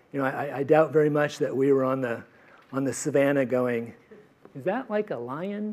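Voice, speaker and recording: Noticeable background noise accompanies a man speaking at a moderate pace with a fairly high pitch and ordinary pitch variation. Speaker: professor. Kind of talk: lecture. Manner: halting, many repetitions and fillers.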